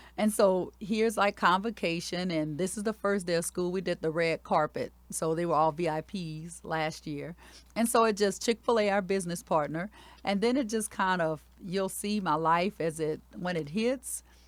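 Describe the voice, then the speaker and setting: Moderate pace, ordinary pitch variation and a Louisiana accent on a very clean recording with a silent background. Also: woman, fairly low pitch for a woman. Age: 40s. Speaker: elementary school principal. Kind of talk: interview storytelling.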